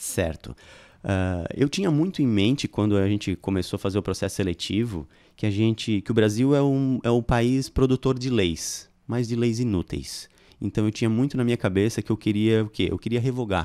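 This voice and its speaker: The man's tone is dark and mellow. He speaks at a moderate pace. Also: ordinary pitch variation, quiet background. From Criciúma, Santa Catarina, Brazil; Santa Catarina, Brazil. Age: 40s. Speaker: political candidate, shopkeeper; candidate. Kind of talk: political interview. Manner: halting, many fillers. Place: studio. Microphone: studio mic.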